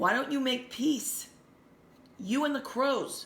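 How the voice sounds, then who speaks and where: Using a put-on character voice, a woman speaks with a high pitch at a fairly slow pace. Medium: read story. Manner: calm, wise.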